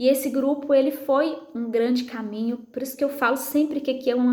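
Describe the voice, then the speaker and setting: A soft-spoken woman talks at a moderate pace with monotone, flat intonation, amid noticeable background noise and audible room echo. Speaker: psychologist and women's prayer group leader. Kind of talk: testimony.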